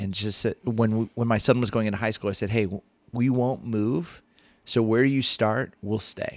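A man with an American accent and a normal speaking voice talks at a medium pitch and a moderate pace, with fairly even intonation, on a very clean recording with a silent background. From Southern California (Ventura County). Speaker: pastor. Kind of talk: casual interview chat. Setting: studio.

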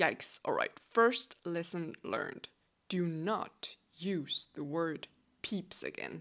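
A woman speaks with a Danish accent and vocal fry. Her pitch is fairly low, with ordinary variation. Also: very clean recording, silent background. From Denmark. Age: 20s. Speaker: podcast host. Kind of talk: casual solo monologue.

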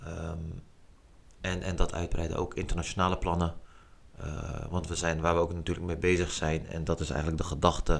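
In a monotone, flat delivery and a very deep, low pitch, a man talks at a fairly quick pace broken by long, frequent pauses. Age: 30s. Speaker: street football organiser. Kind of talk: casual interview.

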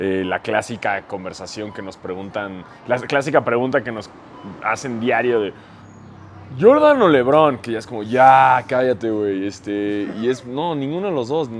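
Big swings in loudness mark this man's speech, delivered at a medium pitch with ordinary pitch variation in a Mexican accent. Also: fairly slow pace. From Mexico. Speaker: basketball podcaster. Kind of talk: casual chat.

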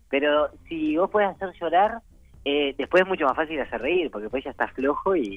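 Speech comes at a moderate speed. Its pitch rises and falls over a very wide range. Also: man. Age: 30s. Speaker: stand-up comedian. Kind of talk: phone interview. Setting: phone call.

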